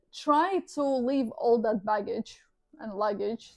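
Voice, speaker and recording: This woman has a high-pitched voice with a non-native accent. Her pitch varies in an ordinary way. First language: not English. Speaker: tarot reader. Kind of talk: tarot reading. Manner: animated.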